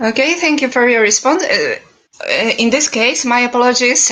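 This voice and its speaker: Noticeable background noise, ordinary pitch variation and a Polish accent. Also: woman. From Poland. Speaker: vegan advocate. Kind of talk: debate. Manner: halting.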